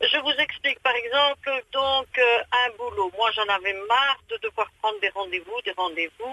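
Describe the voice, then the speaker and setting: Fairly slowly but with lively intonation, a woman talks in a high voice. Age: 60s. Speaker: radio caller. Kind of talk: phone-in chat. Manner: animated.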